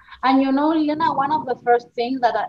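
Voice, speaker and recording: This is a woman speaking with an Argentine accent. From Argentina. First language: Spanish. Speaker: journalist and author. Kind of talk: interview.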